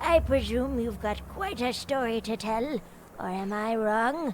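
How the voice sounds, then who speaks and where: Using a put-on character voice, a female-sounding speaker talks at a fairly slow pace with fairly high pitch over clear background noise. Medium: video game. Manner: patronizing, sly.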